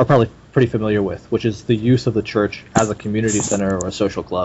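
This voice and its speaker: Somewhat breathy speech comes at a very fast pace. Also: man. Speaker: podcast host. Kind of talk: casual interview conversation.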